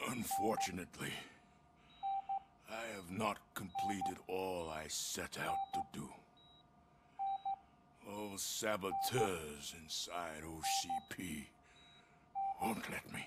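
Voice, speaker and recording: A man in a put-on character voice, fairly low in pitch, at a fairly slow pace with long, frequent pauses, over loud background noise. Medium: video game.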